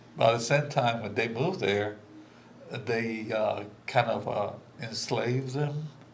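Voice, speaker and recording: Amid noticeable background noise and audible room echo, a man speaks fairly slowly at a medium pitch with ordinary pitch variation and long, frequent pauses. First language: Spanish. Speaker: immigrant guest speaker. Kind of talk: candid conversation. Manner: halting, many fillers.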